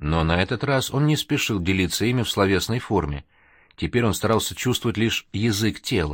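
Lively intonation throughout a reading aloud in a natural voice.

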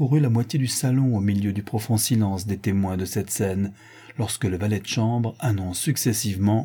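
Pitch shifts in a usual way across this unforced reading voice.

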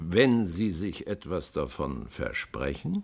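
A man puts on a character voice at a low pitch, with big pitch swings and vocal fry. He talks at a slow pace.

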